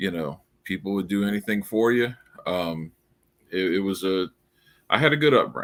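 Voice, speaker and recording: A man's fairly low voice in a New Orleans accent, with lively intonation, a moderate pace and long, frequent pauses. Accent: noticeable New Orleans. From US South, New Orleans, Louisiana. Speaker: crypto founder and writer. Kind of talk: casual interview. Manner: halting, many repeats and fillers.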